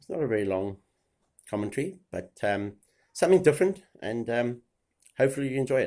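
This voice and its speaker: In a very clean recording with a silent background, a man with a dark, mellow tone talks fairly quickly at medium pitch, using very wide pitch swings, big swings in loudness, and long, frequent pauses. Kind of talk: casual talk to camera.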